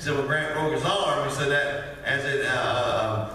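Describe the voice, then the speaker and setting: The room carries a strong echo. Within it, a man speaks at a fairly slow pace. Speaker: preacher. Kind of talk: sermon. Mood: warm, folksy, some laughter. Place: church.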